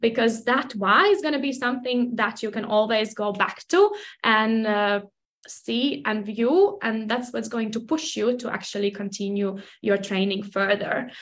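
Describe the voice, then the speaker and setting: A woman speaks at a moderate pace. Her pitch sits fairly high, with ordinary variation. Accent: Latvian. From Latvia. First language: Latvian. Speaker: personal trainer. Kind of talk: casual interview.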